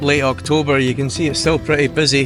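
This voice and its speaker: With music playing behind him, a man talks using lively intonation. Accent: Scottish. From Scotland. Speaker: vanlife travel vlogger. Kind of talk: casual talk to camera.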